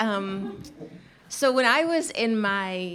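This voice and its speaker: A woman with a Scottish accent. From Glasgow, Scotland. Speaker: voice actor. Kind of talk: live storytelling performance. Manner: comedic, animated.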